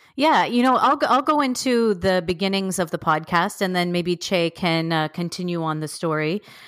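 An ordinary speaking voice in a Canadian accent moves at a moderate pace with lively intonation and hardly any pauses. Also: woman, medium pitch for a woman. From Toronto, Canada. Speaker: teacher and podcast co-host. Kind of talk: casual interview chat.

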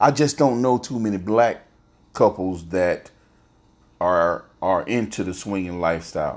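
In a very clean recording with a silent background, a man talks at a fairly slow pace with a fairly low pitch and lively intonation. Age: 40s. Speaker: podcaster. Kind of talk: casual monologue. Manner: halting.

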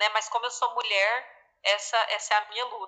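This woman's voice sits fairly high, with a bright, sharp tone and fairly even intonation. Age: 20s. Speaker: finance manager at an agricultural cooperative. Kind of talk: casual interview.

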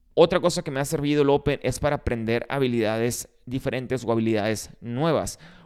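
In a very clean recording with a silent background, a normal speaking voice runs at a fairly quick pace with ordinary pitch variation and hardly any pauses. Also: man, medium pitch for a man. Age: 30s. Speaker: gym owner and podcast host. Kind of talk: solo podcast monologue.

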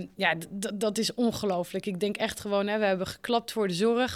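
The recording is very clean, with a silent background. A woman speaks at a moderate pace with fairly even intonation. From small village in France, foreign family. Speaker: trainer of teachers in digital skills. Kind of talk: interview. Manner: hesitant, many fillers.

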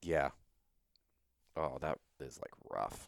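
Vocal fry runs through very slow speech with a dry, close sound and no echo. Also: man. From Louisiana. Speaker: podcast host and fitness coach. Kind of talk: casual chat.

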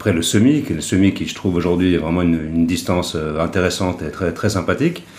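The voice moves at a fairly quick pace with ordinary pitch variation, backed by noticeable background noise and audible room echo. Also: man. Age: 50s. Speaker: triathlete and club event organiser. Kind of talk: casual chat.

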